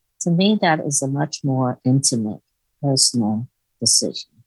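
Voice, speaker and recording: A woman with a very deep, low pitch, very wide pitch swings, a fairly slow pace, and a dry, close sound with no echo. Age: 90s. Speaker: death educator and retired nurse. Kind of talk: interview.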